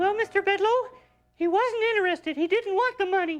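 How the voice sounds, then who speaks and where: A woman does a squeaky put-on character voice at a fairly quick pace. Faint music plays in the background. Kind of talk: comic overacting. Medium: stage play. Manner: halting, folksy, hesitant.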